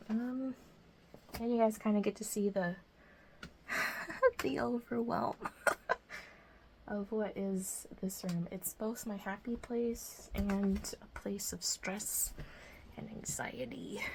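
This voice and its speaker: Soft-spoken and very slow, the speech has long, frequent pauses and ordinary pitch variation. Noticeable background noise runs underneath. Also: woman, medium pitch for a woman. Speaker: crafting YouTuber. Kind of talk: casual chat while tidying. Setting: home craft room. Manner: casual, many fillers; soft-spoken, quiet.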